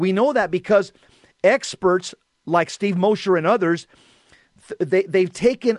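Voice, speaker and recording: In a dry, close recording with no echo, a man talks at a moderate pace with a high pitch and lively intonation. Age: 60s. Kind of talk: casual chat. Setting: remote call.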